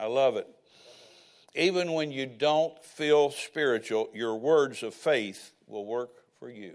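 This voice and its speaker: Ordinary pitch variation in a man's speech. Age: 60s. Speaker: preacher. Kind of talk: sermon. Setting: church.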